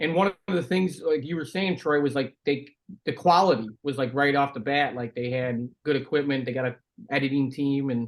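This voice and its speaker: A man speaks in a plain, everyday voice with an American accent, his pitch fairly high and its variation ordinary, at a moderate pace. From Chicago area, US Midwest. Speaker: former pro hockey player, podcaster. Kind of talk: casual chat.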